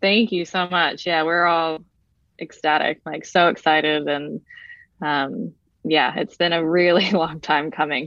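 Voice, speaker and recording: A woman with an American accent, a very deep, low pitch, fairly even intonation and a moderate pace. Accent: American-sounding. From Brazil. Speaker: professional footballer. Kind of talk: casual interview.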